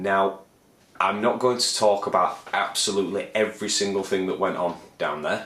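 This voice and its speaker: Fairly even intonation in a Leeds accent, over noticeable background noise. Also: man, fairly low pitch for a man, moderate pace. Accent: northern English, Leeds. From northern England, Leeds. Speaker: aspiring composer and video blogger. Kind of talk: casual vlog monologue. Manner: rambling, hesitant with many fillers.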